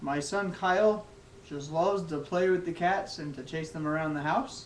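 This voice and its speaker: Audible room echo surrounds a man whose high pitch moves with ordinary variation. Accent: American. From Texas. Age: 20s. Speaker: college student. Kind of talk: class speech. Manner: halting.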